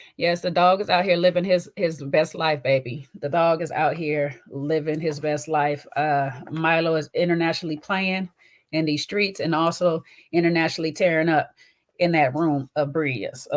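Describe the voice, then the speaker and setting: The speaker has a slight Southern US accent and moves at a moderate pace. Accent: light Southern twang. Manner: excited, hyped.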